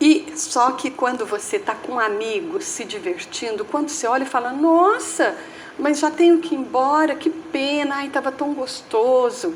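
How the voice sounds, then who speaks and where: Noticeable background noise surrounds a woman with a high pitch. She talks at a fairly slow pace with lively intonation. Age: 70s. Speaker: spiritist lecturer. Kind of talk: talk at a spiritist center.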